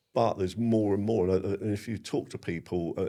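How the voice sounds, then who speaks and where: This man has a dark, mellow tone and fairly even intonation, and he speaks at a fairly quick pace. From Sussex, England. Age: 50s. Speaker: bonfire society member and former chairman. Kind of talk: podcast interview. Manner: hesitant, many fillers.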